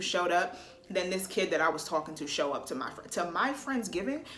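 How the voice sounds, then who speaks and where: A woman's medium-pitched voice at a fairly quick pace, with audible room echo and noticeable background noise. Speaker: vlogger. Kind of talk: storytime vlog. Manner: animated; not loud.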